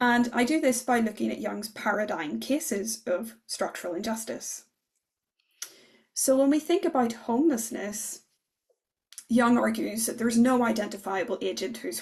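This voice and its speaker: A woman with a Northern Irish accent speaks at a fairly high pitch and moderate pace, with vocal fry and ordinary pitch variation. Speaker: political philosopher. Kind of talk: academic lecture.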